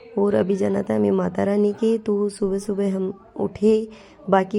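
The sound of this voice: With vocal fry and a dark, mellow tone, a woman speaks at a medium pitch and moderate pace, with little pitch movement.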